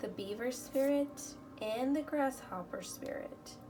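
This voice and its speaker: A woman at a very slow pace with ordinary pitch variation and audible room echo. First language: Spanish. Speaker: tarot reader. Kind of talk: tarot reading.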